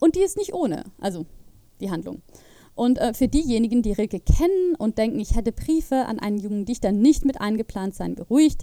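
With a dark, mellow tone, a woman speaks at a fairly quick pace, her fairly high pitch moving in very wide swings. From Switzerland, Zurich. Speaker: podcast host. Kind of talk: casual monologue about literature.

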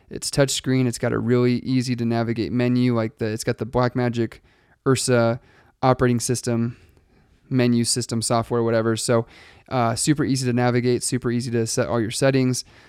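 Recorded very cleanly against a silent background, with a dry, close sound and no echo, a man talks fairly quickly at a medium pitch in a monotone, flat delivery. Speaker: podcast host and wedding filmmaker. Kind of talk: solo podcast monologue. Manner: fast; casual with many fillers.

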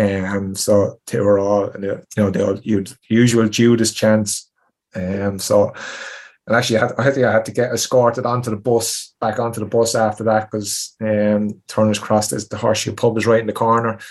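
Speaking with a Tipperary accent, a man keeps a moderate pace. His fairly low voice is flat and monotone. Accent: rural Irish (Tipperary). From Tipperary, Ireland. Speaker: retired footballer. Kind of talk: interview.

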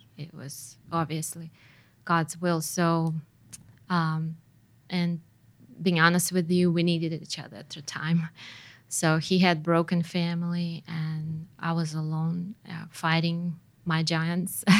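A woman with a Russian accent talks at a very slow pace in a fairly low pitch, with long, frequent pauses. Her intonation is monotone and flat, while her loudness swings widely. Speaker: missionary's wife. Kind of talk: casual interview. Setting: studio. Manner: hesitant, many fillers.

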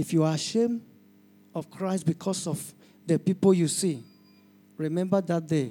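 Long, frequent pauses from a man with a high pitch and a dark, mellow tone, on a very clean recording with a silent background. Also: ordinary pitch variation, moderate pace. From Nigeria. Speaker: pastor. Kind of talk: altar-call sermon, urgent appeal to the congregation to raise hands and surrender. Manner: fervent and pleading, with filler 'you know'.

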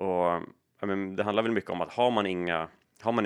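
Talking very fast, a man speaks at a very deep, low pitch. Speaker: private investor and entrepreneur. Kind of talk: interview.

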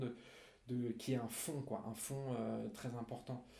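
A man at a moderate pace, with audible room echo. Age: 20s. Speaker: recovering alcoholic, author. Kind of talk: testimony. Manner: halting, many repetitions.

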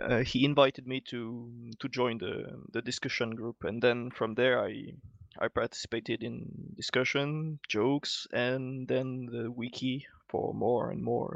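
A man with an unremarkable speaking voice talks fairly slowly at medium pitch with fairly even intonation, the sound dry and close with no echo over a quiet background. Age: 30s. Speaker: game scripting expert. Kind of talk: casual chat.

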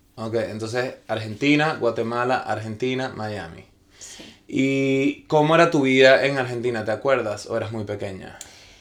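A man talks at a moderate pace, his loudness swinging widely. Noticeable background noise runs behind him. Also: medium pitch for a man, ordinary pitch variation. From Venezuela. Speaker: actor. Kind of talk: casual chat. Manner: halting.

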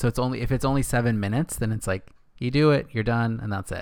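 A man speaks in a plain, everyday voice at medium pitch and a fairly quick pace. The recording is very clean with a silent background. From Northern California, Castroville. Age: 30s. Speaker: podcast co-host. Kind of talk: casual chat. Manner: laughs often.

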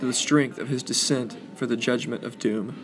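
A man's normal speaking voice, medium in pitch with ordinary pitch variation, at a moderate pace. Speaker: podcast host and church leader. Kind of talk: reading aloud a prayer, then closing remarks. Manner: solemn, measured, reverent.

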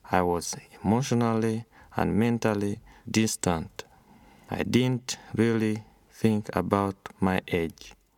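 At a very slow pace with long, frequent pauses, a man speaks at a fairly low pitch with fairly even intonation. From Uganda. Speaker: refugee storyteller. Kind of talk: reading aloud a personal story.

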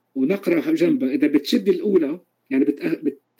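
A man speaks at a moderate pace in a dark, mellow tone, his pitch swinging very widely. The sound is dry and close, with no echo. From Palestine, Galilee. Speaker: percussionist and music teacher. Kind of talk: interview. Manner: halting.

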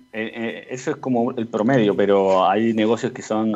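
A man of medium pitch with fairly even intonation. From Chile. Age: 30s. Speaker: serial entrepreneur. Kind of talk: radio interview. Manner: halting, many repetitions and fillers.

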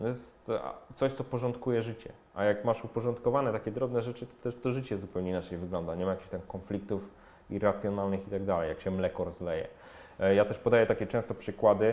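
At a very fast pace, a man speaks with a fairly low pitch, ordinary pitch variation and a dark, mellow tone. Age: 40s. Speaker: personal finance blogger and author. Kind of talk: casual interview conversation.

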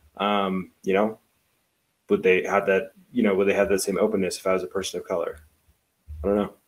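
A man speaks at a fairly quick pace, broken up by long, frequent pauses. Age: 20s. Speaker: city council candidate. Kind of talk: panel discussion. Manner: outgoing, chatty.

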